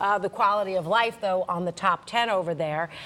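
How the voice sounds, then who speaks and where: This woman uses a normal speaking voice at medium pitch and a moderate pace. Her intonation is fairly even. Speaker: business reporter. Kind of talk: local TV news business segment, conversational with anchor.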